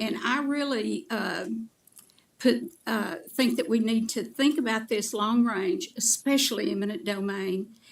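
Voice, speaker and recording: Somewhat breathy and fairly high in pitch, a woman with an American accent speaks at a fairly slow pace with ordinary pitch variation. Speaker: public commenter. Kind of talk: public comment at county meeting. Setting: public meeting hall.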